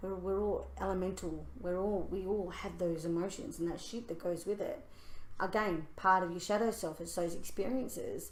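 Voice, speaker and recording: Audible room echo surrounds the speaker. She is a woman talking at a moderate pace. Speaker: spiritual podcast co-host. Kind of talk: casual chat. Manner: loud; animated.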